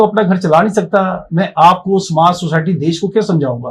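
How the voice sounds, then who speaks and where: This man talks at a moderate pace. His pitch is high, with ordinary variation. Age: 60s. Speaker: motivational speaker and life coach. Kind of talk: podcast interview, personal story.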